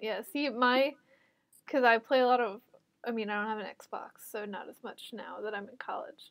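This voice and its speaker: A woman's unremarkable speaking voice, fairly even in intonation, with big swings in loudness. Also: fairly high pitch for a woman, moderate pace. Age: college student. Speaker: podcast co-host. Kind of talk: casual chat.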